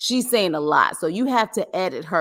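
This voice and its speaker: A woman speaks with lively intonation and an animated tone. Her voice is bright and sharp, recorded very cleanly against a silent background. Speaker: entertainment commentary youtuber. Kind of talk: live stream commentary. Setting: live stream.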